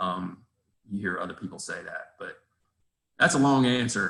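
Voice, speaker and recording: Speaking at a very fast pace, a man delivers his words. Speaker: real estate investor. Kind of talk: casual interview. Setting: video call. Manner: animated.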